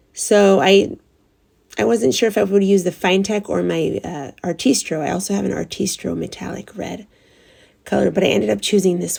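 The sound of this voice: A woman's raspy, medium-pitched put-on character voice at a fairly quick pace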